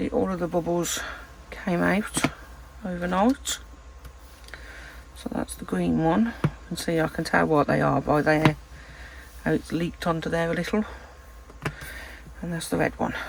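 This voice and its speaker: Over noticeable background noise, a soft-spoken woman talks with a British accent. Her pace is moderate, broken by long, frequent pauses. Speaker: resin crafter, channel host. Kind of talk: tutorial. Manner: soft-spoken, quiet. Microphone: no external mic, too quiet.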